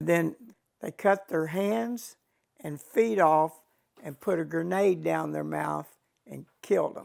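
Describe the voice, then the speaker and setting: A man with a Texan accent at a very slow pace, with long, frequent pauses and big swings in loudness. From Texas, Fort Worth. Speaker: war veteran. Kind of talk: testimony.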